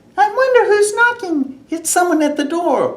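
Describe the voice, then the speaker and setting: The put-on character voice is squeaky and extremely high, delivered at a moderate pace. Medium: read story.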